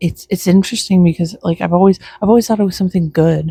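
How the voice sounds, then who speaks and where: A woman speaks quietly and somewhat breathily, her tone dark and mellow, in a dry, close sound with no echo. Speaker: vlogger. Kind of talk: casual chat. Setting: outdoors.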